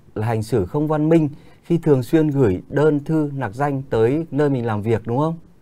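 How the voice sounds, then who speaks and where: A man speaks with a fairly high pitch and a dark, mellow tone. His pace is moderate. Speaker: radio host. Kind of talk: live radio call-in. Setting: studio. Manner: formal.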